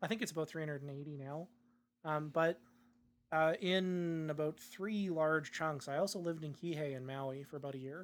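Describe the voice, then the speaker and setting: With an ordinary speaking voice and a Canadian accent, a man with a fairly high pitch talks at a moderate pace with fairly even intonation, in a very clean recording with a silent background. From Canada, Saanich near Victoria, British Columbia. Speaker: podcast co-host. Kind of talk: casual chat.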